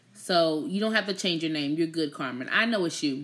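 Over a quiet background, a woman sounds animated, her tone bright and sharp and her intonation lively. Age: 30s. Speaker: YouTube livestream host. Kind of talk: casual chat. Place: home room. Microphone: phone near.

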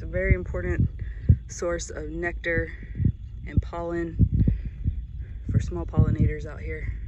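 A woman speaks at a fairly slow pace with long, frequent pauses. The sound is dry with no echo, though the background noise is loud. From Mississippi. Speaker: marine biologist. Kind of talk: casual vlog narration. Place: beach. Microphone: phone near.

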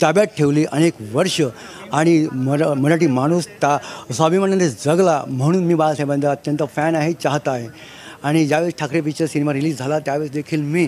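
Over light background noise, a man talks with a fairly high pitch and fairly even intonation. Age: 50s. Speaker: party supporter at a rally. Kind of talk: street interview. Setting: outdoors at a rally ground. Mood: proud, admiring. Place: open country.

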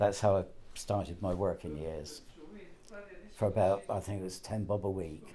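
With long, frequent pauses, a man speaks in a fairly low pitch, his intonation fairly even. His tone is dark and mellow and somewhat breathy, with light background noise behind him. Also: moderate pace. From England. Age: 80s+. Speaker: betting shop worker. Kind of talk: interview. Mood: cheerful, storytelling. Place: shop. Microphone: lapel.

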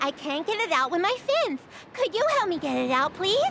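The put-on character voice has an extremely high pitch and very wide pitch swings, moving at a fairly quick pace over clear background noise. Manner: muffled, awkward speech.

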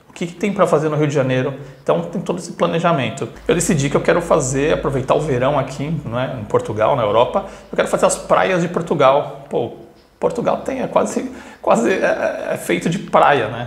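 A man talks at a fairly quick pace, and audible room echo surrounds his voice. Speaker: travel vlogger. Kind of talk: casual vlog chat. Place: home room. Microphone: phone near.

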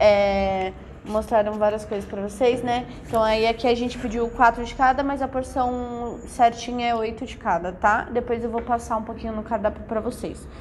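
Light background noise can be heard. Over it, a woman talks at a moderate pace. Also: fairly even intonation. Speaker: food vlogger. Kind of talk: casual vlog chat. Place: cafe. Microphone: phone near.

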